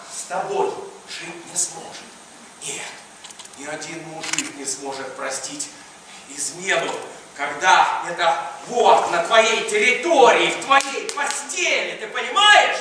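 Over light background noise and strong room echo, a man talks at a very slow pace with long, frequent pauses and big swings in loudness. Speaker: stage actor. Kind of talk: theatrical monologue in comedy play. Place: stage. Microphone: camera far.

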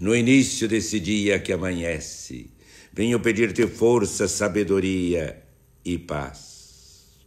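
This man speaks very slowly in a fairly low pitch. His tone is solemn, and the background is quiet. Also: ordinary pitch variation. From Brazil. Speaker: bishop leading morning prayer. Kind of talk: fervent prayer. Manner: earnest, devout, pleading; slow, solemn, rhythmic cadence. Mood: warm, smiling, devotional. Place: home room. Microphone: phone near.

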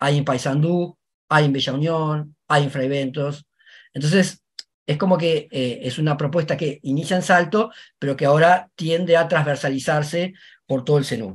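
Somewhat breathy, a man speaks at a moderate pace with ordinary pitch variation against a quiet background. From Uruguay. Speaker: university professor. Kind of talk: academic panel presentation. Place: home room. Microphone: webcam.

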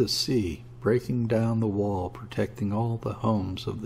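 With fairly even intonation, the voice reads aloud naturally.

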